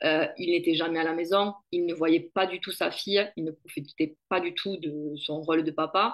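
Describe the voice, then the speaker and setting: A woman with a southern French accent speaks in a monotone, flat intonation at a fairly low pitch. Her pace is moderate, with hardly any pauses. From southern France, Béziers-Narbonne area. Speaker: network marketing entrepreneur. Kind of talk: interview.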